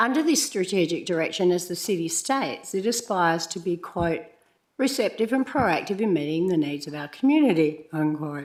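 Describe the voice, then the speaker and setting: With an Australian accent, a woman speaks at a moderate pace in a fairly low pitch that swings very widely. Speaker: community member giving a deputation to council. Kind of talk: prepared public statement. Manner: formal.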